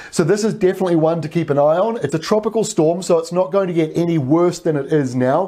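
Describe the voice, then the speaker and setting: Over a quiet background, a man with a high pitch and a dark, mellow tone talks at a very fast pace with hardly any pauses, very even loudness and ordinary pitch variation. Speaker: weather presenter. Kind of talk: weather report, scripted-sounding forecast briefing over maps. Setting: video presentation with weather maps. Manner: steady, informative, conversational with occasional fillers. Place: studio. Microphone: lapel.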